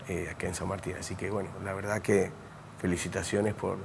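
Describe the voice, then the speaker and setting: Through audible room echo, a man with a fairly low pitch speaks at a moderate pace in a monotone, flat intonation. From Mendoza, Argentina. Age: 60s. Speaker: architect and university lecturer. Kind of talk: interview. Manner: hesitant, many fillers.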